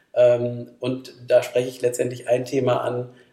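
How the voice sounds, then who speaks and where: Noticeable background noise sits behind the speech. A man talks at a fairly slow pace and a medium pitch. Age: 50s. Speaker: company managing director. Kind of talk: podcast interview.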